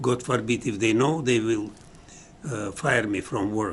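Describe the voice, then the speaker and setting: A man speaks very slowly in a somewhat breathy, medium-pitched voice. His pitch varies in an ordinary way. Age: 80s+. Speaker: museum director. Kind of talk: interview answer.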